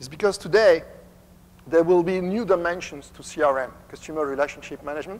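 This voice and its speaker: A man speaks with a French accent. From France. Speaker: company executive. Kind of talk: conference presentation.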